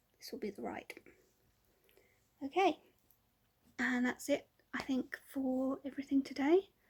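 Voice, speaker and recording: A woman with a southern English accent speaks in a high pitch. Her pace is moderate, broken by long, frequent pauses. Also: ordinary pitch variation. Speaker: vlogger. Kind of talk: casual vlog chat. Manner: hesitant, many ums.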